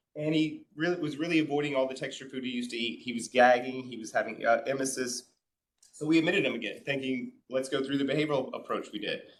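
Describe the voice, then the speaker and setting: His speech comes out very fast, with fairly even intonation. This man's voice sits at a medium pitch. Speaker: clinical feeding specialist, case manager. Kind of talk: conference presentation.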